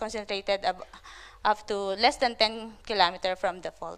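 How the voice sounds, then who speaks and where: In a very clean recording with a silent background, a woman speaks at a fairly quick pace. Her pitch is fairly high with ordinary pitch variation. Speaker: conference presenter, landslide researcher. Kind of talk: conference presentation. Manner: fast.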